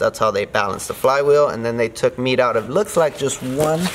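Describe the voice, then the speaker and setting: Over light background noise, a man talks at a fairly quick pace. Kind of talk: casual explanatory shop talk. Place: garage. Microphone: phone near.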